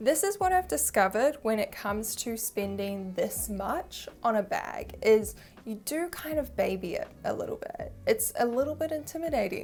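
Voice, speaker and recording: Speaking at a moderate pace, a woman uses hardly any pauses. She has a New Zealand accent. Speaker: fashion YouTuber. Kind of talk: product review vlog. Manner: casual, chatty.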